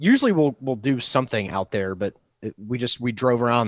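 This man has a normal speaking voice at a medium pitch and a fairly quick pace. The sound is dry and close, with no echo. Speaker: podcast co-host. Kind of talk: casual chat.

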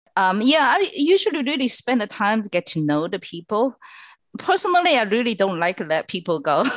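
Speaking at a fairly quick pace with a Chinese accent, a woman uses a fairly high pitch with very wide pitch swings, in a dry, close sound with no echo. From China. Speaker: clean tech executive. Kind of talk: interview.

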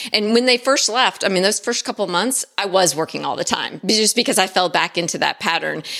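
A woman's ordinary speaking voice, medium in pitch with ordinary pitch variation, at a fairly quick pace with hardly any pauses. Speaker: productivity consultant. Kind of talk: casual chat.

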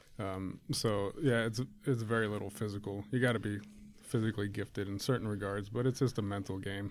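A man with an American accent speaks at a fairly quick pace in a fairly low pitch. It is a plain, everyday voice on a very clean recording with a silent background. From rural Ohio. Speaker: former wrestler. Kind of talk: casual chat.

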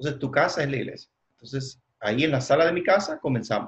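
This man's voice sits at a medium pitch. It is somewhat breathy. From Cuba. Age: 40s. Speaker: church leader and trainer. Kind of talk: interview. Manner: halting, many fillers.

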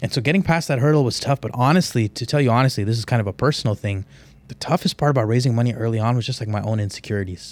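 In an American accent, a man talks at a very fast pace with a medium pitch and ordinary pitch variation, recorded very cleanly against a silent background. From Houston, Texas. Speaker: real estate investor. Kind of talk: interview.

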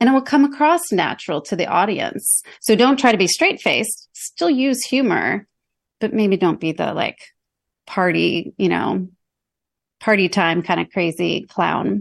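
This woman has a medium-pitched voice with vocal fry. Her intonation is lively, and the background is quiet. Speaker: executive communications coach. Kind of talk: podcast interview. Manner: articulate, conversational.

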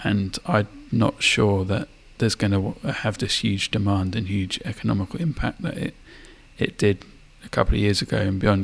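Vocal fry runs through a man's voice, which has fairly even intonation. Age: 30s. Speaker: podcast co-host. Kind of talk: casual chat.

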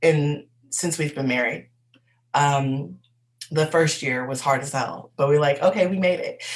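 This woman's voice is very deep and low in pitch, with a somewhat breathy quality. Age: 20s. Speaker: podcast host and life coach. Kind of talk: casual personal monologue. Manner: hesitant, with filler words.

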